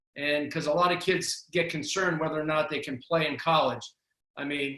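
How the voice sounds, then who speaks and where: A man talks at a fairly quick pace in a fairly high voice. His tone is bright and sharp, his intonation fairly even. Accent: Boston. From Boston, Massachusetts. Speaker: basketball coach. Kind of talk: interview.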